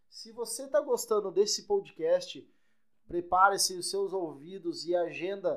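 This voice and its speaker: A man talks at a fairly slow pace. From Santa Catarina, Brazil. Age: 20s. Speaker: podcast co-host, business administrator and DJ. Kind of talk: casual podcast chat.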